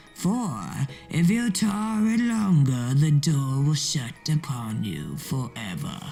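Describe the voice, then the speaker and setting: A put-on character voice at a middle pitch and a very slow pace, with faint music in the background. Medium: read story.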